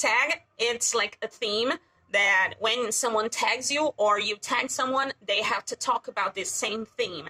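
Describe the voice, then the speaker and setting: A woman speaks with a fairly high pitch and a bright, sharp tone. The sound is dry and close with no echo, and her pace is fairly slow. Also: ordinary pitch variation. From Brazil. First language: Portuguese. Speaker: YouTuber. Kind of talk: casual vlog talk. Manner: loud; animated.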